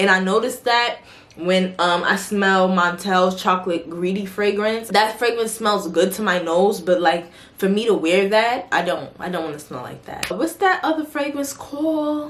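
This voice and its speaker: A woman speaks at a moderate pace with a New York accent, her pitch medium and her intonation lively. Noticeable background noise runs under her voice. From New York City. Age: 20s. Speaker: beauty and fragrance vlogger. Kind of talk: casual Q&A vlog. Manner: animated, conversational.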